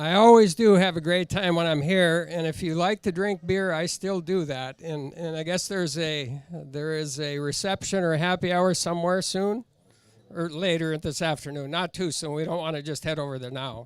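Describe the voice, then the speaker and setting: This man has a high pitch with ordinary pitch variation. He speaks at a moderate pace with an American accent. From US Midwest, northern Minnesota. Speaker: livestock judge. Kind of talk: casual chat.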